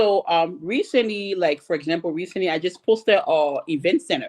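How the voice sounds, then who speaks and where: At a moderate pace, a woman uses an ordinary speaking voice with medium pitch and lively intonation. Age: 30s. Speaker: panelist. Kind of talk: panel discussion.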